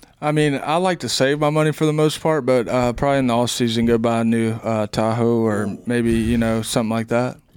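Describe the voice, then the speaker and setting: A man with a Southern US accent, medium-pitched, with ordinary pitch variation, very even loudness, and a fairly quick pace with hardly any pauses. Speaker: baseball player. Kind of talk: interview.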